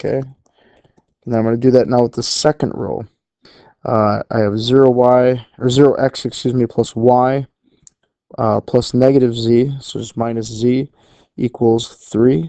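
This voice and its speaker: A dark, mellow tone in a monotone, flat intonation at a moderate pace, with long, frequent pauses and a dry, close sound with no echo. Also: man, medium pitch for a man. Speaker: math teacher. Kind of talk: lecture. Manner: casual, with fillers.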